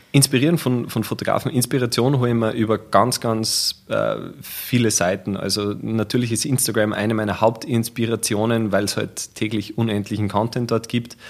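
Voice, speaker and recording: Against noticeable background noise, a man speaks at a moderate pace and medium pitch with fairly even intonation and hardly any pauses. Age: 30s. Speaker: photographer. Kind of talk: casual interview.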